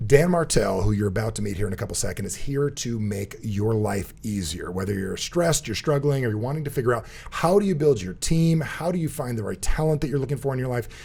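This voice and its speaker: Talking at a very fast pace with hardly any pauses, this animated, somewhat breathy voice has very wide pitch swings and an American accent. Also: man, medium pitch for a man. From New Jersey. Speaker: podcast host and speaker. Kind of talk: casual interview chat; show introduction.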